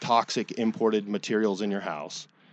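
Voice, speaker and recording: An unremarkable speaking voice talks at a moderate pace. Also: man. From Texas (Dallas). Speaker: flooring store owner. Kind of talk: radio interview.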